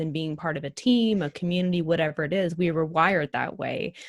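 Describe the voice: Talking at a fairly quick pace, a woman uses a low pitch with ordinary variation in a very clean recording with a silent background.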